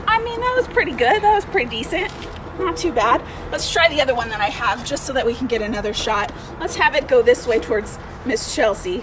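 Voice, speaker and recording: A loud woman with a high pitch talks at a fairly quick pace, her voice swinging very widely, against noticeable background noise. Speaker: museum education director. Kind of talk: craft tutorial for kids. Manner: casual and encouraging.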